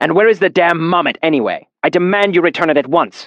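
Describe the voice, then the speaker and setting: A man puts on a growling character voice, high in pitch, with ordinary pitch variation, and races along at a very fast pace. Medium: read story. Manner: bitter, grudging.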